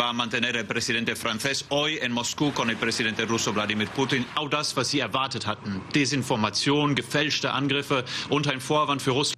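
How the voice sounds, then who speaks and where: With light background noise behind him, a man talks at a fairly quick pace, keeping his loudness very even and hardly pausing. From Luxembourg. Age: 40s. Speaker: news correspondent. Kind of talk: live TV news report. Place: street. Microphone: handheld.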